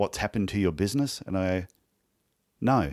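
Speaking with an Australian accent, a man talks at a moderate pace and a fairly low pitch. The recording is very clean, with a silent background. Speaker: podiatrist and podcast host. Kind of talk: interview conversation.

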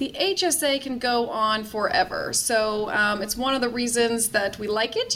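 A woman speaks at a high pitch with ordinary pitch variation. Noticeable background noise runs underneath. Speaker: tax expert. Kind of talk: interview.

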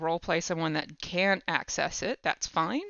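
At a moderate pace, an unremarkable speaking voice with an American accent shows ordinary pitch variation. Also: woman. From United States. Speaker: podcaster and game designer. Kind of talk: casual chat.

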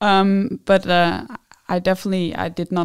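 A woman in a Dutch accent talks at a fairly slow pace with a fairly low pitch and monotone, flat intonation on a very clean recording with a silent background. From Netherlands. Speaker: PhD student in food science. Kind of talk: interview. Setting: studio.

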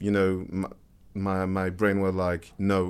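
In a French accent, a man speaks fairly slowly at a fairly low pitch, on a very clean recording with a silent background. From France. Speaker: music producer and DJ. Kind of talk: casual interview. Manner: halting, many repetitions and fillers.

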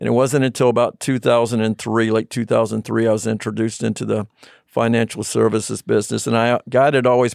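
This man speaks with an American accent at a fairly quick pace, his pitch medium and his intonation monotone and flat. The sound is dry and close with no echo, over a quiet background. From Virginia, US. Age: 60s. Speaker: financial planner and business president. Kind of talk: casual interview chat.

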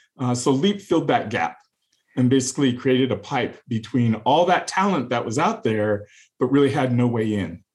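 A man talks in an ordinary speaking voice with a General American accent, at a moderate pace. His pitch is medium and his intonation lively. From California, US. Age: 50s. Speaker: software engineer and tech executive. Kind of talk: interview conversation.

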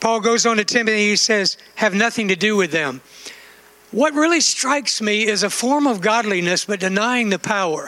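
A raised, projected voice carries lively intonation at very even loudness. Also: man, high pitch for a man, moderate pace. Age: 60s. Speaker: preacher. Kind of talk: sermon. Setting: church.

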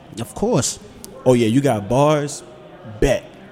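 Very slow speech from a man amid noticeable background noise. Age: young. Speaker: podcast co-host. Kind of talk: casual chat.

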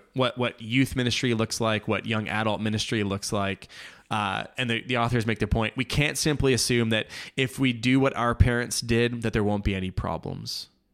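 A man with a Canadian accent speaks at a fairly quick pace, his medium pitch showing ordinary variation. The recording is very clean against a silent background. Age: 40s. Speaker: podcast host, church planter. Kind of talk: solo book summary and commentary. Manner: halting, many fillers and restarts.

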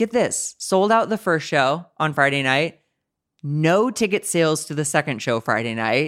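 A man with an American accent uses an ordinary speaking voice at a fairly high pitch, moderate pace and lively intonation, in a dry, close sound with no echo. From US Midwest, St. Louis, Missouri. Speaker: comedian. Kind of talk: casual chat.

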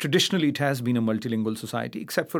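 In a very clean recording with a silent background, a man with a Pakistani accent talks at medium pitch with ordinary pitch variation. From Pakistan, Karachi. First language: Urdu. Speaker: poet. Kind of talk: interview. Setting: stage with audience. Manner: halting, many fillers and repetitions.

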